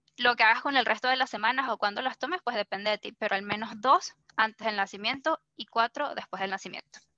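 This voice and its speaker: A woman talks at a very fast pace with hardly any pauses, her fairly high pitch showing ordinary variation and her tone bright and sharp, recorded dry and close with no echo. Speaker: workshop facilitator. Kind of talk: workshop presentation.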